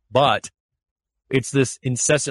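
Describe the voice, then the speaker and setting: A man talks at a moderate pace in a somewhat breathy voice, with a dry, close sound, no echo and a quiet background. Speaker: leadership coach. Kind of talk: interview.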